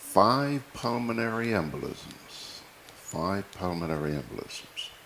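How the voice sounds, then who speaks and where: Over noticeable background noise, a man speaks at a very slow pace with a medium pitch and lively intonation. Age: 60s. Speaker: TV news and current affairs host. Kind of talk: casual personal monologue to viewers. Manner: animated.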